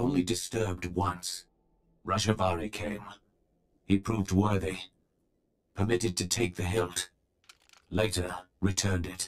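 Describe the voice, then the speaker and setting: Using a very deep, low put-on character voice, a man talks at a moderate pace with long, frequent pauses. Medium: video game. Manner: terse, clipped, halting phrases; solemn, commanding.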